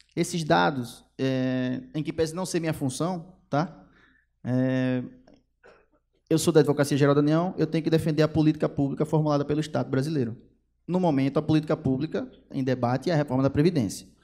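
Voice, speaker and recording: Fairly quick speech from a man, fairly high in pitch, with fairly even intonation. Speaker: federal government attorney. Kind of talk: lecture. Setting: stage with audience. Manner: fast; loud.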